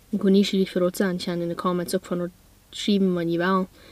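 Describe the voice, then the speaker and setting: A woman's dark, mellow voice comes through in a dry sound with no echo. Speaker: vlogger. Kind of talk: casual vlog chat. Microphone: phone near.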